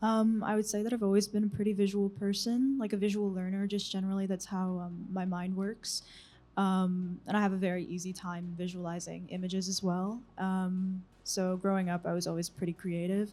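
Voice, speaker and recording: A woman's medium-pitched, dark, mellow voice, monotone and flat, at a fairly quick pace on a very clean recording with a silent background. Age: 20s. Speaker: visual artist. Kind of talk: interview. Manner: halting, many ums.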